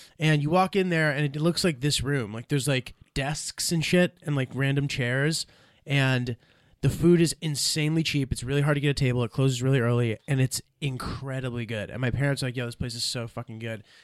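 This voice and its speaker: With a plain, everyday voice, a man with a fairly high pitch talks at a fairly quick pace with ordinary pitch variation, in a very clean recording with a silent background and a dry, close sound with no echo. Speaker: stand-up comedian. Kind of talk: casual chat.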